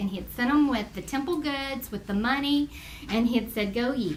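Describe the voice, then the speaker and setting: A Texas accent amid noticeable background noise and audible room echo. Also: woman. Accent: Texas Southern US. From US South. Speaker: Bible teacher. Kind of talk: Bible study lesson. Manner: conversational.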